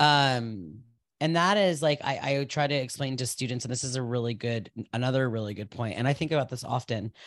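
A man speaks in an animated tone at a fairly quick pace. His pitch is medium with ordinary variation. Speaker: yoga teacher and podcast host. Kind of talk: casual chat.

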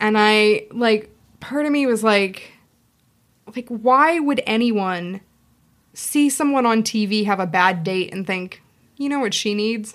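With a Pacific Northwest accent, a woman speaks at a fairly slow pace in a fairly high voice with ordinary pitch variation and long, frequent pauses. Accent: American, Pacific Northwest. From Seattle, US Pacific Northwest. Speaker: sex shop owner and wedding celebrant. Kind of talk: casual chat. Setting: studio.

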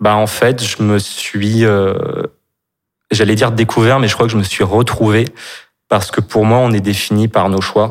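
A man speaks fairly slowly in a fairly low voice, with long, frequent pauses. His intonation is monotone and flat, his loudness very even. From Brittany, France. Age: 30s. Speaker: store manager and actor. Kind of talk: personal testimony in interview.

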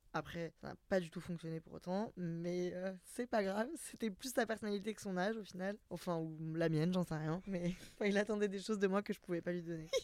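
A woman speaks with fairly even intonation. She barely pauses at all. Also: fairly quick pace. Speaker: podcaster. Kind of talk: casual chat.

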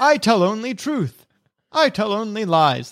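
A man speaks in a put-on character voice set at a high pitch. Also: moderate pace.

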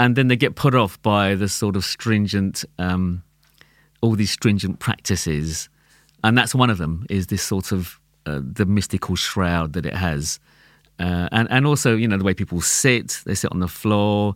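A man with a London accent, fairly low pitch and ordinary pitch variation at a moderate pace, on a very clean recording with a silent background. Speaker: tabla player. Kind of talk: casual chat. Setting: studio.

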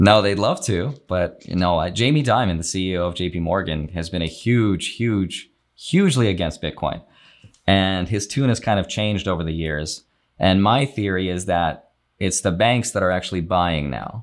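This man has a very deep, low voice. He talks at a moderate pace with ordinary pitch variation. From Russia. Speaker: finance YouTuber. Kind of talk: interview.

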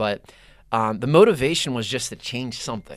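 Speaking at a fairly quick pace, a man uses an ordinary speaking voice at medium pitch, on a very clean recording with a silent background. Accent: American. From Pittsburgh, Pennsylvania. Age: 30s. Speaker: youth nonprofit leader. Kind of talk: casual chat.

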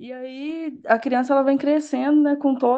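In a quiet background, a woman with a high pitch and a dark, mellow tone speaks at a fairly slow pace. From Brazil, interior of São Paulo state. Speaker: physiotherapist. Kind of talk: casual discussion.

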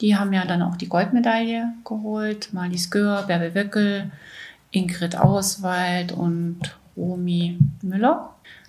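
Audible room echo surrounds a woman speaking very slowly and somewhat breathily. Her pitch is medium, and her intonation fairly even. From Saxony-Anhalt, East Germany. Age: 60s. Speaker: former athlete. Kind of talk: interview testimony.

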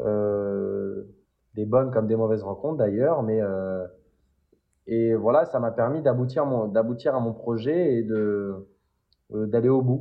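Speaking at a very slow pace with long, frequent pauses, a man keeps to a medium pitch with ordinary pitch variation. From Paris area, France. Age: 20s. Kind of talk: interview. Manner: animated.

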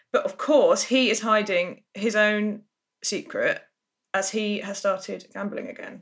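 A woman talks at a fairly slow pace in an English accent. Her loudness swings widely. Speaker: soap podcast co-host. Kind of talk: casual chat.

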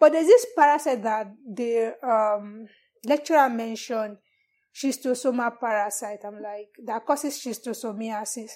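A woman with a Nigerian accent and a fairly high pitch, at a moderate pace with big swings in loudness, on a very clean recording with a silent background. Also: ordinary pitch variation. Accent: Nigerian (Yoruba) English. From Nigeria (Yoruba, southwest). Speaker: parasitologist. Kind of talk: interview.

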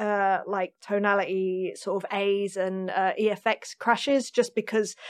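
In a London accent, a woman speaks at a fairly slow pace, fairly high in pitch, with fairly even intonation. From North London, England. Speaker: session and touring drummer. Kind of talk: interview conversation.

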